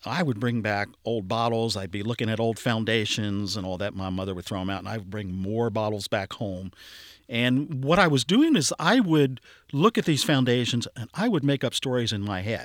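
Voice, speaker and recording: In a very clean recording with a silent background, a man with an American accent speaks at a moderate pace in an unremarkable speaking voice, his pitch medium and its variation ordinary. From Cincinnati, Ohio. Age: 60s. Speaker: archaeology curator. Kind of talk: casual interview, storytelling.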